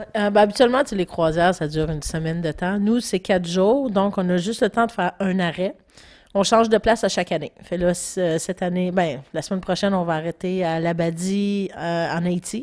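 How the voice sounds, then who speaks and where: An ordinary speaking voice from a woman, medium in pitch with ordinary variation, at a moderate pace on a very clean recording with a silent background. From Quebec, Gaspésie. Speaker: podcast co-host. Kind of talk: casual chat.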